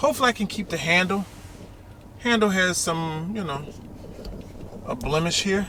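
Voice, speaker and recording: Pitched high and projecting his raised voice in an American accent, a man uses lively intonation at a moderate pace with long, frequent pauses, over noticeable background noise. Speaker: YouTuber. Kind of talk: casual vlog.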